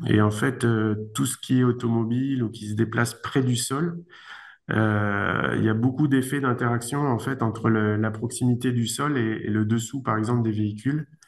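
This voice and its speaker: A man with a medium-pitched voice speaks at a moderate pace with fairly even intonation. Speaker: engineer, research institute director. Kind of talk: conference talk, Q&A answer. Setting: video conference. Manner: hesitant, many fillers.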